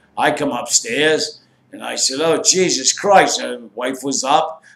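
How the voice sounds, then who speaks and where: An unremarkable speaking voice from a man, pitched fairly high and showing ordinary pitch variation. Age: 60s. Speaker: former drug smuggler. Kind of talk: casual storytelling to camera.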